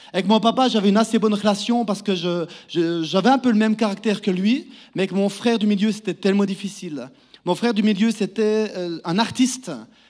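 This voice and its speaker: A man with a Neuchâtel accent talks at a moderate pace in a high pitch with ordinary pitch variation, on a very clean recording with a silent background. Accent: Neuchâtel Swiss French. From Switzerland, Neuchâtel canton (Val-de-Travers, Les Ponts-de-Martel). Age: 30s. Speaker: preacher giving testimony. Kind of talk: testimony sermon. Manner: halting, many repeated words.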